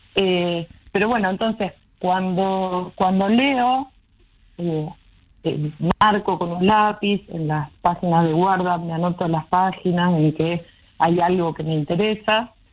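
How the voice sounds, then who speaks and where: In a Rioplatense accent, a woman with a medium pitch talks at a fairly slow pace, leaving long, frequent pauses, with ordinary pitch variation. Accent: Argentine Rioplatense Spanish. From Argentina, southern Santa Fe province. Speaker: academic researcher and writer. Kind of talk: casual interview.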